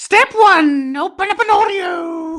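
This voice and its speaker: Put on as a character voice, the speech comes at a fairly slow pace with an extremely high pitch. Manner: silly, comedic.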